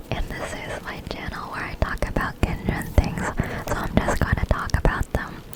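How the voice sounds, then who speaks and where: A woman whispers with an American accent at a moderate pace. Background noise is noticeable. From United States. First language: Chinese. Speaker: ASMR YouTuber. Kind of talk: ASMR gaming voiceover. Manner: whispering; repeats words.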